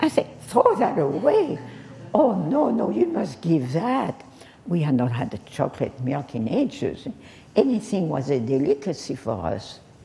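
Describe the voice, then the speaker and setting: This woman's fairly low pitch moves in very wide swings as she talks at a fairly slow pace. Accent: French. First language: French. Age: 80s+. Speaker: French teacher. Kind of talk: public speech, personal wartime memories. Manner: hesitant, many pauses and fillers.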